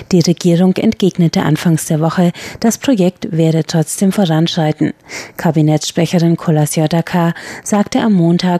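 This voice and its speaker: A woman speaks with a dark, mellow tone. The sound is dry and close with no echo. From Bavaria, Germany (Regensburg). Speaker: radio host. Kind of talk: news reading. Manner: formal.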